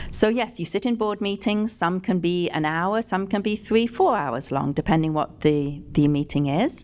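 Lively in intonation, a woman at medium pitch speaks at a moderate pace with hardly any pauses. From England. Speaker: former city councillor. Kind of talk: interview.

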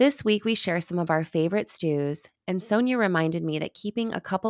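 A woman's fairly low, plain, everyday voice with an American accent and ordinary pitch variation, dry and close with no echo, in a very clean recording over a silent background. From US Midwest. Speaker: podcast host, private chef. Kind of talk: casual chat; scripted narration.

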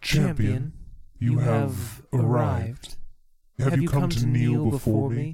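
Putting on a character voice, a man speaks fairly slowly at a medium pitch. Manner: commanding, regal.

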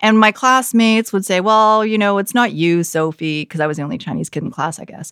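An unremarkable speaking voice moves at a fairly quick pace with hardly any pauses and lively intonation. The recording is very clean, with a silent background. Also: woman, medium pitch for a woman. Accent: Canadian. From Canada, Vancouver area. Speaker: news anchor. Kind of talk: casual chat.

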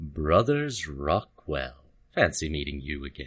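Using a put-on character voice, a man rumbles in a very deep, low pitch with a calm, menacing tone at a fairly slow pace.

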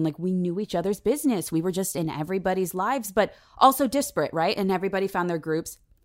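A woman speaks at a medium pitch in an unremarkable speaking voice. The recording is very clean, with a silent background. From San Diego, California. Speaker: actress and voice actor. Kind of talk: casual chat.

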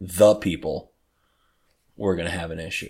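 A man with an American accent speaks at a moderate pace in a very deep, low pitch. The intonation is fairly even, and the recording is very clean with a silent background. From Detroit, Michigan, US. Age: 50s. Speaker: podcast co-host. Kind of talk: casual chat. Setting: in person, same room.

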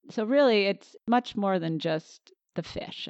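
Recorded with a dry, close sound and no echo, a woman with an American accent speaks at a moderate pace. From Connecticut, near New Haven. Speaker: fish biologist. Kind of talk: interview. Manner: animated.

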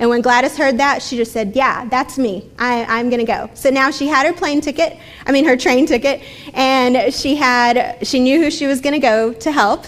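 With noticeable background noise, a woman talks at a moderate pace and high pitch, with ordinary pitch variation. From Texas. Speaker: church speaker. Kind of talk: talk at church gathering.

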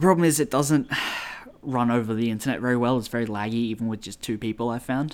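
A man speaks with an Australian accent at a very fast pace. His pitch is medium, with ordinary variation. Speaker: podcast co-host. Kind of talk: casual chat. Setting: remote call.

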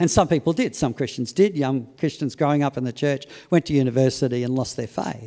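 On a very clean recording with a silent background, a man with an Australian accent speaks at a fairly quick pace in a medium pitch, with a dark, mellow tone and ordinary pitch variation. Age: 60s. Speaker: preacher. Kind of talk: sermon. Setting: church service.

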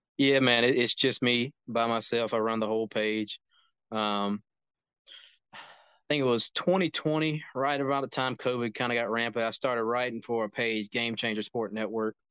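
Man with a plain, everyday voice, medium pitch, fairly even intonation and a moderate pace. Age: 20s. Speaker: college football scout. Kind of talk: casual chat.

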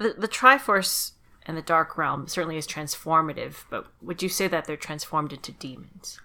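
In a very clean recording with a silent background, a woman speaks at a moderate pace with a bright, sharp tone. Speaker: podcast host. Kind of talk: casual podcast chat.

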